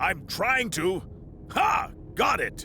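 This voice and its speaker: A high-pitched put-on character voice over clear background noise. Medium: audio drama.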